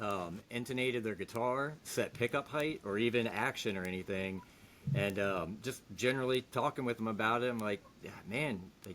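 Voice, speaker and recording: A man with an American accent speaks at a moderate pace and medium pitch, using ordinary pitch variation. It is an unremarkable speaking voice. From Virginia, Hampton Roads area. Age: 30s. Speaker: guitar repair technician. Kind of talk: casual interview chat.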